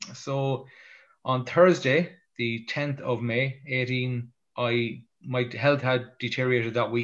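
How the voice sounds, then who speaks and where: Speaking very slowly with an Irish accent, a man keeps his intonation fairly even against a quiet background. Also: medium pitch for a man. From Ireland. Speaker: motivational speaker. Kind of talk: interview storytelling. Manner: halting, with frequent repetitions.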